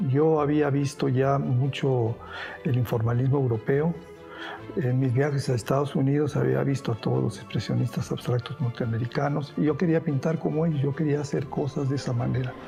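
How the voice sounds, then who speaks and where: Music in the background behind moderate-paced speech with ordinary pitch variation and very even loudness. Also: man, medium pitch for a man. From Spain, raised in Mexico. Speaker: painter. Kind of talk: interview answer.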